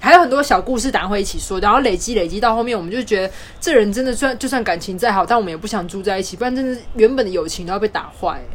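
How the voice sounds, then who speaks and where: A woman speaks at a very fast pace in an animated tone, her pitch fairly high and her intonation lively. Noticeable background noise runs underneath. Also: hardly any pauses. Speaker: podcast co-host. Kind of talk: casual chat.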